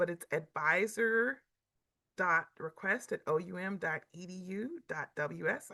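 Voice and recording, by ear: A woman puts on a raspy character voice at a medium pitch with ordinary pitch variation. She speaks at a very slow pace.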